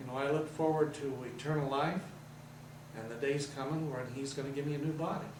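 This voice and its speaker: Speaking fairly quickly in a flat monotone, a man with a fairly high pitch is heard with audible room echo and noticeable background noise. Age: 70s. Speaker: religious TV station operator. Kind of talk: interview.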